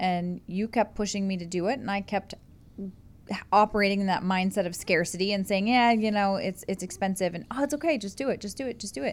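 Talking at a fairly quick pace, a woman uses an unremarkable speaking voice with medium pitch and ordinary pitch variation. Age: 30s. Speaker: host's wife. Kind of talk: casual chat. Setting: studio.

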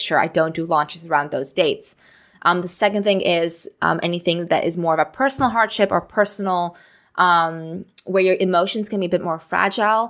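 Over a very clean recording with a silent background, a woman talks at a fairly quick pace. Her pitch is fairly low, with ordinary pitch variation. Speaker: business coach and podcast host. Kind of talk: solo podcast monologue about a business launch. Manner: fast talker; casual, enthusiastic.

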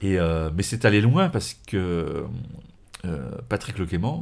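This is a man speaking. His intonation is lively. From France, Morvan. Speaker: automotive journalist and magazine editor. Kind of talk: interview conversation.

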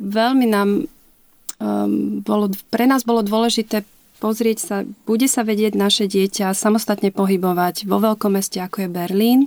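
Her pitch is medium and her intonation fairly even. The woman keeps a moderate pace, and the sound is dry and close with no echo. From Slovakia, Liptov region. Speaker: mother of a child with Down syndrome, inclusion advocate. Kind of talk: interview. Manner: hesitant, many fillers.

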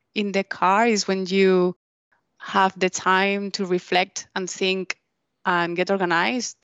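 Very slow speech from a woman with a non-native accent, medium in pitch, in a dry, close sound with no echo. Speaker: podcast co-host. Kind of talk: scripted intro; interview.

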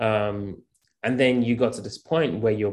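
A man with a plain, everyday voice speaks at a moderate pace, his fairly low pitch showing ordinary variation against a quiet background. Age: 30s. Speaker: podcast host. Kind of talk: interview.

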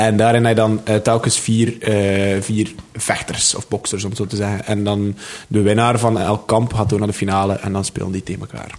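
Speaking in a Flemish accent at a moderate pace, a man with a fairly low voice keeps a monotone, flat intonation. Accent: Flemish Dutch. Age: 20s. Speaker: comedian and rapper. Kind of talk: casual chat.

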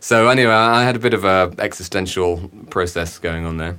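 A man with an English accent and a very deep, low pitch, bright, sharp tone and fairly even intonation. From England. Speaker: cinematographer. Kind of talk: casual chat. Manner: halting, many fillers.

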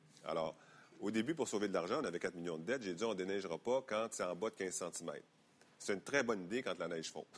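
A man with a fairly low pitch races through his words very fast, his pitch varying in an ordinary way. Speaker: politician. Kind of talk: interview.

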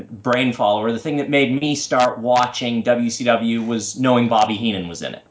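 A man with an American accent talks at a moderate pace while noticeable background noise is heard. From US Northeast (Massachusetts). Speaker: wrestling fan podcast guest. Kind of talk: casual chat.

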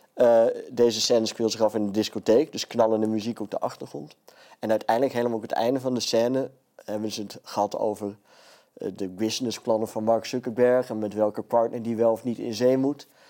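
Fairly quick and fairly even in intonation, a man's voice has a medium pitch and a dark, mellow tone. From Friesland, Netherlands. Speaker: comedian. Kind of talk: casual chat.

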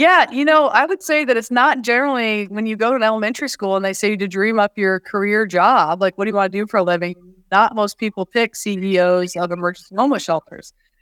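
A woman's very fast, fairly high-pitched speech in a Midwestern US accent with hardly any pauses and ordinary pitch variation, on a very clean recording with a silent background and a dry, close sound with no echo. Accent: US Midwest. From Iowa (West Branch, small town). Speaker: homeless shelter chief executive. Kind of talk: interview conversation.

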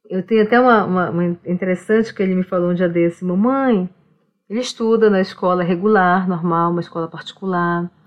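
A woman in a medium pitch speaks fairly quickly. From Brazilian Amazon, Omágua Kambeba people. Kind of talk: casual interview conversation. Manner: repetitive, halting.

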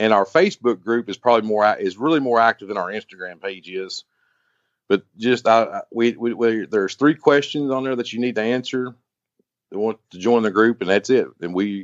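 In a Kentucky accent, a man speaks at a fairly quick pace with ordinary pitch variation. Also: medium pitch for a man. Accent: Kentucky Southern. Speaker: jeep club leader. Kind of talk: interview.

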